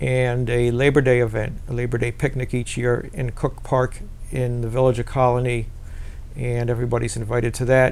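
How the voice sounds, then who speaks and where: A man with an American accent, medium pitch, monotone, flat intonation and a moderate pace, plus audible room echo. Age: 60s. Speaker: peace activist. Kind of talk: interview. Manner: halting.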